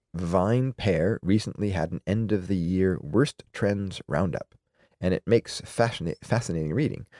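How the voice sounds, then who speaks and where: A man's very deep, low pitch with lively intonation at a fairly slow pace, dry and close with no echo, on a very clean recording with a silent background. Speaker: beer podcast co-host. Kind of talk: casual chat. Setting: studio. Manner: trailing off.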